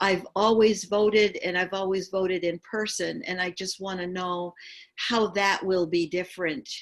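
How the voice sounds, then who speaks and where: A woman talks at a moderate pace and medium pitch. Her intonation is monotone and flat. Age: 70s. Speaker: webinar participant. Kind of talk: casual chat.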